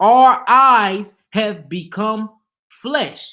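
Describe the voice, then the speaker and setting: An animated, high-pitched man's voice, raised and projected, with a bright, sharp tone. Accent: American. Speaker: religious teacher. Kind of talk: Bible teaching livestream. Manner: casual, animated.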